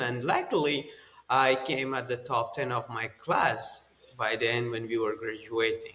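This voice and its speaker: The speech comes at a fairly slow pace. Noticeable background noise can be heard. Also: man. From Afghanistan. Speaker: former army special forces colonel. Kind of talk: interview. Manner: halting, with fillers.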